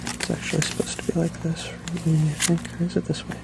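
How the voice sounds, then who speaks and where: A man speaks in a soft-spoken way. There is noticeable background noise. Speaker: ASMR video creator. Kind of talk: soft-spoken ASMR storytelling. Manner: soft-spoken, hesitant.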